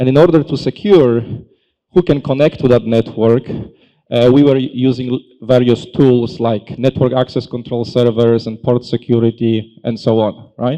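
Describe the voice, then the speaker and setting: A man with a European accent speaks at a moderate pace with a medium pitch. His tone is dark and mellow, and his intonation fairly even. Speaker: tech company solutions consultant. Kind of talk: conference presentation. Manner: halting, many fillers.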